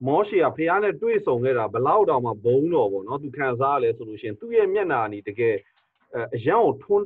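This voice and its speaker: Over a quiet background, a man talks at a fairly quick pace with very wide pitch swings. The sound is dry with no echo. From Myanmar. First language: Burmese. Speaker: pastor and interpreter; pastor. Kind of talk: sermon interpretation. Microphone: video call.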